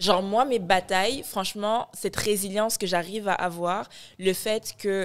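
Woman, medium pitch, monotone, flat intonation. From Morocco (born in Ivory Coast). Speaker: media founder and content creator; content creator. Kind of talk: casual chat. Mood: reflective, warm. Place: studio. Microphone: studio mic.

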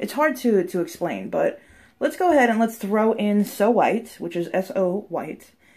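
This woman talks at a fairly slow pace. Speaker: bath product reviewer. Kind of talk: casual vlog chat. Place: bathroom. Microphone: phone near.

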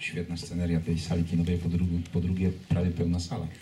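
Very fast speech from a man with a very deep, low pitch, over light background noise. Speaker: marathon race director. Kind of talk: press conference. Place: hall. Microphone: pa.

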